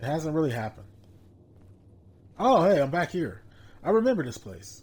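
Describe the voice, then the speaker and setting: A man with a fairly high pitch and vocal fry talks at a moderate pace, his pitch swinging very widely and his loudness shifting a lot. The recording is very clean with a silent background. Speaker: gaming streamer. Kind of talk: let's play commentary.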